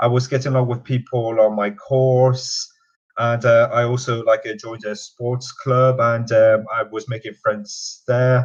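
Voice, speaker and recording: A somewhat breathy man's voice at a medium pitch and fairly slow pace. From Newcastle, northern England, born in Quebec. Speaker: university alumnus. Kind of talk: interview. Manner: halting, many fillers.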